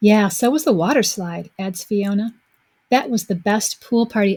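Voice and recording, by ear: A natural voice reads aloud, its pitch varying in an ordinary way. Behind it, the background stays quiet.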